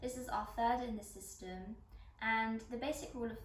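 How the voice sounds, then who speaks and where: A woman's calm tone at a moderate pace, with noticeable background noise. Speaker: yoga instructor. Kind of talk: guided yoga class instruction. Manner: calm, instructional.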